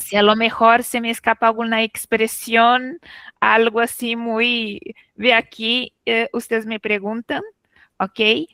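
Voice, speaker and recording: A woman with a fairly high pitch and a bright, sharp tone talks very slowly with fairly even intonation, in a dry, close sound with no echo. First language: Portuguese (speaking Spanish). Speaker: literature professor. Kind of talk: academic talk.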